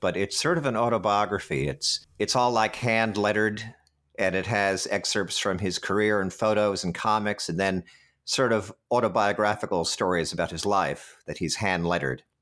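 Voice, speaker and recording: With an unremarkable speaking voice, a man talks at a moderate pace and a fairly low pitch on a very clean recording with a silent background. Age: 50s. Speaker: actor. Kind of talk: casual chat.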